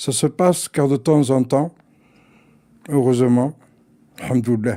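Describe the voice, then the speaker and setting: A man talks in a dark, mellow tone. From Aix-en-Provence, southern France (born Algeria). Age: 60s. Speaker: neighbourhood resident interviewee. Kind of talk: personal interview testimony. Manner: halting, many repetitions.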